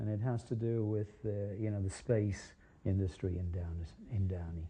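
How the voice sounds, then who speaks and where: Somewhat breathy and dark, mellow in tone, a man with fairly low pitch speaks at a moderate pace. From England. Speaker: mosaic artist. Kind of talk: interview. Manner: halting.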